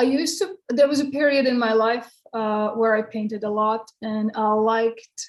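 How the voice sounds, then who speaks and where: With a Croatian accent, a woman speaks fairly slowly in a fairly high voice. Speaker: poet. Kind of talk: Q&A interview. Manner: halting.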